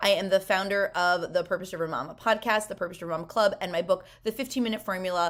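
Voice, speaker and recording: A woman talks at a very fast pace with medium pitch. Her pitch varies in an ordinary way. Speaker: productivity coach for moms. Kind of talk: webinar presentation. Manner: animated.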